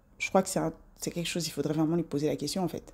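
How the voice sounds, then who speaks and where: Her voice has a fairly low pitch and a dark, mellow tone, belonging to a woman. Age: 40s. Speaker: self-improvement vlogger. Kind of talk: casual monologue to camera. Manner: animated.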